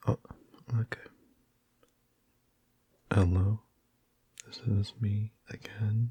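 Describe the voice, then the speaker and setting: Soft-spoken and very slow, this speaker leaves long, frequent pauses. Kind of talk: casual talk to camera.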